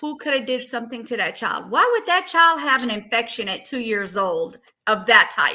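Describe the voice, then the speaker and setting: This woman has a high, bright and sharp voice. She talks at a moderate pace with lively intonation. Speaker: true crime livestream host. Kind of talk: casual livestream discussion. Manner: halting.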